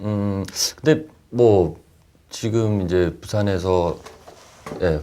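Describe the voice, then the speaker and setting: A man with a fairly low pitch and a dark, mellow tone speaks at a very slow pace with ordinary pitch variation. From South Korea, Busan. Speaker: actor. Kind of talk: interview.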